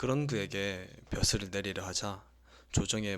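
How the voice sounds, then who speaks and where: This man has an ordinary speaking voice, pitched fairly low, with fairly even intonation. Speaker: audiobook reader, sleep-ASMR narrator. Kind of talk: sleep-aid audiobook reading, calm late-night narration. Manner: soft, calm, slow.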